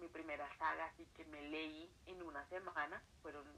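A woman with a Colombian accent, very deep and low in pitch, monotone and flat, at a fairly slow pace. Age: 20s. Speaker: writer and accounting student. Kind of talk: casual interview. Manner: quiet, late at night.

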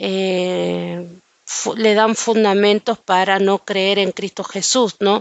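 The woman talks very slowly at a medium pitch, her intonation monotone and flat. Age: 40s. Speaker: Bible teacher. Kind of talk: Bible study.

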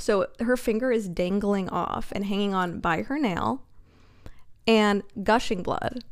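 A woman of medium pitch has a plain, everyday voice. She talks at a fairly slow pace with ordinary pitch variation. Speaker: podcast co-host. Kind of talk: casual chat.

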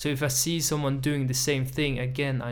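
With fairly even intonation, a man talks at medium pitch and a moderate pace. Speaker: podcast host. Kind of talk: casual chat. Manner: monotone.

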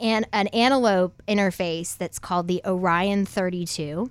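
This is a plain, everyday voice with an American accent and fairly even intonation. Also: woman. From Ohio. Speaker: singer-songwriter. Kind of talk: casual interview chat.

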